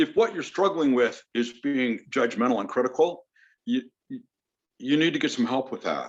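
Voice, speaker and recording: A man with an unremarkable speaking voice, fairly high pitch, lively intonation and a moderate pace. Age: 60s. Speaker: counselor. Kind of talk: interview.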